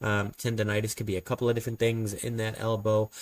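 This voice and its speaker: Very fast, monotone, flat delivery in a very clean recording with a silent background. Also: man. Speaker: sports fan commentator. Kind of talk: casual commentary. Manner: filler-heavy, hesitant.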